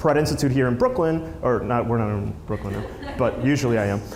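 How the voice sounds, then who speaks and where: The speaker has a Spanish accent and ordinary pitch variation, with audible room echo and noticeable background noise. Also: man. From Peru, moved to New Jersey as a child. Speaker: filmmaker and app creator, conference speaker. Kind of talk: conference talk. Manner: casual, many fillers and restarts.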